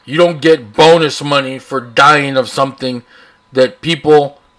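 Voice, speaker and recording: Speaking with a South Texas accent, a man uses a fairly high pitch and fairly even intonation. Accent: South Texas American. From US South, Texas (Rio Grande Valley, Brownsville). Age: 40s. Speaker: podcast host. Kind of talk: editorial rant. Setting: home studio with open window, traffic noise. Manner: casual, unscripted.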